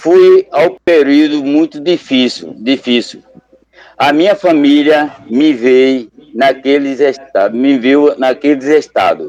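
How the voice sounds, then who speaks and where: This man's fairly high pitch comes with a very slow pace. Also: ordinary pitch variation, very even loudness. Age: 60s. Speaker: Buddhist lay member, local group leader. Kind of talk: testimony.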